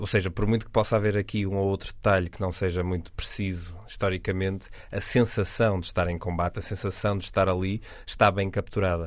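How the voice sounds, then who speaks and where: Delivery is fairly quick, with monotone, flat intonation. The recording is very clean, with a silent background. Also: man, fairly low pitch for a man. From northern Portugal, Vila Nova de Gaia. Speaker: podcast panelist, TV critic. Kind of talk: casual chat.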